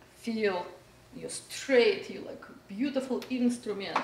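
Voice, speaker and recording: A woman speaks at a very slow pace. Audible room echo and light background noise can be heard. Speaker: voice teacher. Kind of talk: tutorial. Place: home room. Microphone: camera far.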